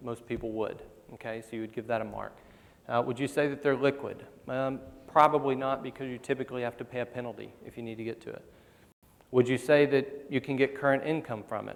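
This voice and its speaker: A man talks at a very fast pace in a medium pitch. His intonation is monotone and flat, while his loudness swings a lot. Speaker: financial adviser. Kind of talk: conference presentation. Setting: stage with audience.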